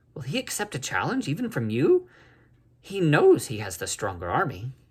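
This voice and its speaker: A man uses a put-on character voice at a fairly high pitch. He speaks at a moderate pace. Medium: read story. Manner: plain, earnest.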